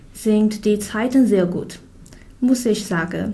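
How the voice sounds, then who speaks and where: Speaking with a Chinese accent, a woman with a fairly high pitch talks at a very slow pace with fairly even intonation amid audible room echo. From China. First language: Chinese (speaking German). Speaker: international student. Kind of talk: scripted conversation.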